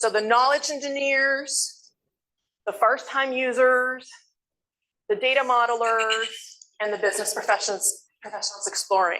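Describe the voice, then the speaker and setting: Speaking at a moderate pace with long, frequent pauses, a woman uses a high, bright, sharp voice with ordinary pitch variation. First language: Spanish. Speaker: education consultant, workshop facilitator. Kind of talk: conference presentation with Q&A.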